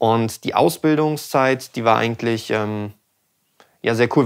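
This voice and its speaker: Over a quiet background, a man speaks at medium pitch with ordinary pitch variation. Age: 20s. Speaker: sound engineer and channel host; channel host. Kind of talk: casual chat. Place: studio. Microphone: studio mic.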